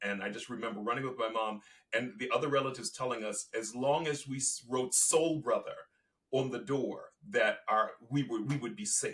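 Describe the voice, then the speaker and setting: At a moderate pace, a man talks with lively intonation at a medium pitch. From Virginia and Baltimore, US Mid-Atlantic. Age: 60s. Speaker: activist and storyteller. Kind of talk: interview. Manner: halting.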